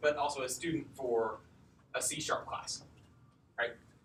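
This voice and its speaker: Audible room echo surrounds a man's voice. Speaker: coding bootcamp instructor. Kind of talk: lecture. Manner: loud.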